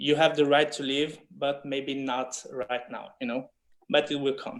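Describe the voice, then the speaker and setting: In a French accent, a man speaks at a fairly slow pace with monotone, flat intonation. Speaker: filmmaker. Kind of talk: panel discussion. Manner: halting.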